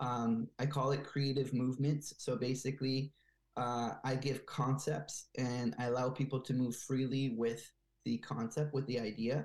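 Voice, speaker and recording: In a very clean recording with a silent background, a man with an American accent talks at a moderate pace and a medium pitch, his intonation fairly even. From US East Coast, Bethesda, Maryland. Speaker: dancer and choreographer. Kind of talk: interview. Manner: hesitant with many fillers.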